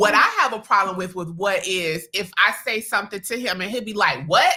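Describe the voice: A woman's loud voice at medium pitch, fairly quick, with ordinary pitch variation, a bright, sharp tone and a slightly husky edge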